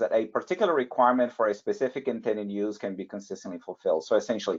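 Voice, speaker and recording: A man speaks with a non-native accent. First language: not English. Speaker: validation and compliance expert, webinar panelist. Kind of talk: webinar presentation. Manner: halting, many fillers and restarts.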